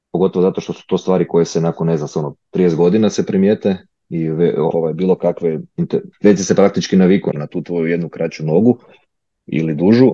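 Very fast and very deep, this man's low-pitched voice has a dark, mellow tone and fairly even intonation. The sound is dry and close, with no echo. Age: 20s. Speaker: orthopedic resident doctor. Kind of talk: interview. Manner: halting, many fillers.

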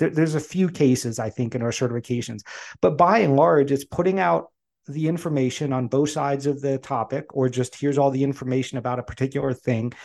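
A man with an American accent speaks in a plain, everyday voice, fairly high-pitched, with ordinary pitch variation against a quiet background. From Pennsylvania, Poconos. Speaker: coaching certification founder. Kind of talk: casual interview chat.

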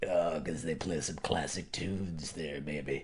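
A man puts on a character voice at a moderate pace, his pitch very deep and low, with light background noise. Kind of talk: casual. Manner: smarmy.

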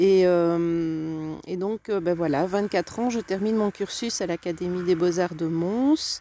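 A woman's fairly low, dark, mellow voice at a very slow pace, with ordinary pitch variation and hardly any pauses. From Belgium, Tournai (Hainaut). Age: 40s. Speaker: interior designer. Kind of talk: casual interview chat. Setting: outdoors in a garden.

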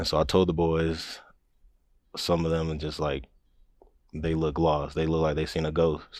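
In an American accent, a man with a very deep, low pitch speaks in a monotone with flat intonation, leaving long, frequent pauses. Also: moderate pace, very clean recording, silent background. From New Mexico, raised on military bases (US, Germany). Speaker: college track athlete. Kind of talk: casual interview chat.

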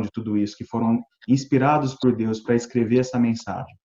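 A man talks at a fairly quick pace in a medium pitch. His intonation stays monotone and flat. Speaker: Bible study participant. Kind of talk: Bible study discussion. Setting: video call from home.

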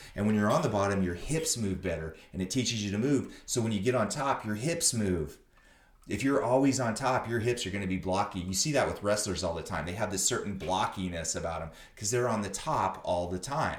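Audible room echo accompanies a man speaking at a fairly quick pace. His pitch is fairly low and his intonation lively. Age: 50s. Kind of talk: casual interview chat. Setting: visiting host's academy.

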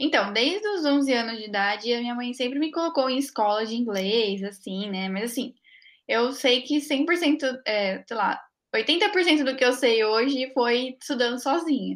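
A high-pitched woman's voice, fairly slow, with lively intonation. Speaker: PhD student. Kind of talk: podcast interview.

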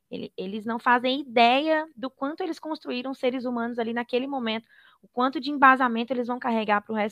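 A woman with a high pitch talks very fast, her pitch varying in an ordinary way. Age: 30s. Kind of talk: interview.

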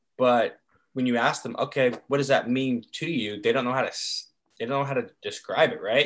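A man with an American accent has a normal speaking voice at medium pitch. His intonation is fairly even and his pace moderate. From North Carolina, Chapel Hill. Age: 20s. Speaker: podcast co-host, grad student. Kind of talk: casual chat.

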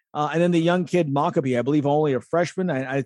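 The recording of a man has a dry, close sound with no echo. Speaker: radio host. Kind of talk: sports radio talk.

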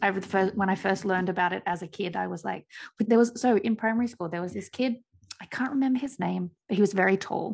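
A woman speaks at a medium pitch with vocal fry and an Australian accent. Her pace is very fast, with ordinary pitch variation. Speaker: podcast co-host, researcher. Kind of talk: casual chat.

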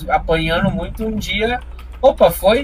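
Noticeable background noise fills the recording. Through it, a man is talking. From Curitiba metro area, Paraná, Brazil. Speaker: stand-up comedian. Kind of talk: casual interview chat.

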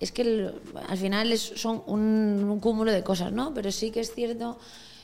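Here is a woman with a normal speaking voice. Her pitch sits fairly high, with ordinary variation. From Galicia, A Coruña. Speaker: entrepreneur. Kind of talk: casual interview.

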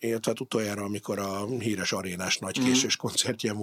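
A man talking at a very fast pace. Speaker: podcast host. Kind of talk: casual interview.

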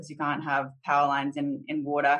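In an Australian accent, a woman speaks with a very deep, low pitch. Her intonation is monotone and flat. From Australia, Southeast Queensland. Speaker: insurtech company CEO and co-founder. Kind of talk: interview.

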